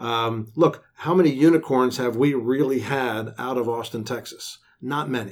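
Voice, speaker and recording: A man talks fairly slowly at a medium pitch. He has an unremarkable speaking voice. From Florida, Tampa Bay area. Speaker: tech incubator director. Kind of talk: interview.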